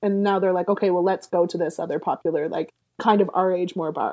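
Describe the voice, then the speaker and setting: A woman speaks at a fairly quick pace, medium in pitch, with fairly even intonation. It is a normal speaking voice. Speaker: podcast guest sharing sex life stories. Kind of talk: casual chat.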